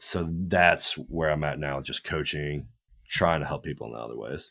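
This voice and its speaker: A man's very deep, low voice with a bright, sharp tone, in a very clean recording over a silent background. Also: ordinary pitch variation, moderate pace. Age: 20s. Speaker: fitness coach and former bodybuilder. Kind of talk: casual podcast interview.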